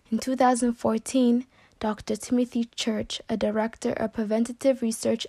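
In an American accent, the somewhat breathy speaker goes at a moderate pace, with a dry, close sound and no echo. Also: woman. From US West Coast, San Diego. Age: young. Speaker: college student. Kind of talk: class presentation speech; personal introduction.

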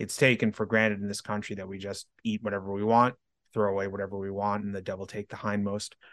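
A man with an American accent talks very fast in a fairly low, monotone, flat voice. The sound is dry and close with no echo, against a quiet background. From New York City. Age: 30s. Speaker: online life coach. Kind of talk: interview conversation.

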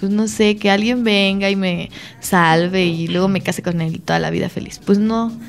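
Noticeable background noise sits under a woman speaking at medium pitch and a moderate pace, with ordinary pitch variation. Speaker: podcast co-host. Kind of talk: casual chat. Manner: animated.

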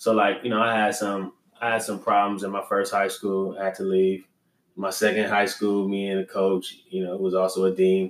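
This man talks at a moderate pace in an American accent. His fairly low voice has monotone, flat intonation. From Los Angeles, California. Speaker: entrepreneur, business co-founder. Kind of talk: casual interview.

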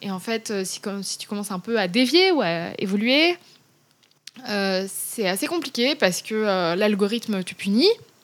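Here is a woman with a plain, everyday voice at a medium pitch, speaking at a fairly slow pace. Her intonation is lively, with big swings in loudness. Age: 30s. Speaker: author and Instagram influencer. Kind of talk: interview conversation.

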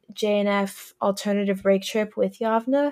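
A woman speaks at a fairly slow pace in an ordinary speaking voice, her fairly high pitch held to fairly even intonation over a very clean recording with a silent background. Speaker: podcast host and college student. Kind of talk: casual interview chat.

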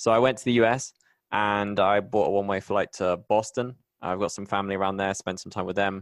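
A man with a West Country accent talks at a fairly quick pace and fairly low pitch, his intonation fairly even, against a quiet background. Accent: British English, West Country. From England, Bristol. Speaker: podcast host and technology writer. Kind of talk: casual interview.

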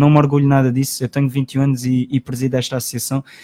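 A very fast delivery in a dark, mellow tone, flat and monotone, with a dry, close sound and no echo. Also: man. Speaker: studio commentator, folk group president. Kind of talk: radio panel chat. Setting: radio studio.

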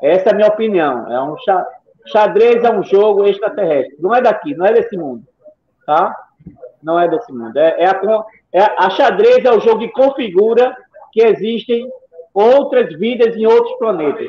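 A man talks at a moderate pace with a high pitch and lively intonation. His speech has long, frequent pauses. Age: 60s. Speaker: chess player and teacher. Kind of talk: live stream talk.

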